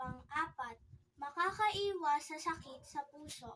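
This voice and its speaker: With a high pitch, a woman speaks at a very slow pace. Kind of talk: infomercial product read.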